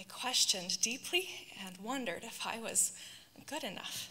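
A woman speaks at a moderate pace with lively intonation. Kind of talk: read personal testimony. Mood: earnest, reflective. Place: church. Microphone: handheld.

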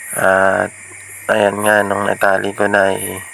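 Amid noticeable background noise, a man speaks fairly low and monotone, with flat intonation. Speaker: outdoor vlogger. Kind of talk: voice-over narration. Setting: outdoors by a river mouth at dusk.

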